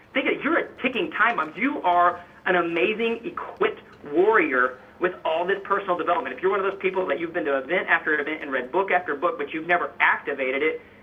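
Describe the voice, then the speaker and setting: A man's high-pitched, animated, very fast speech with lively intonation over noticeable background noise. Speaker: fitness coach and motivational speaker. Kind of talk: interview, motivational talk.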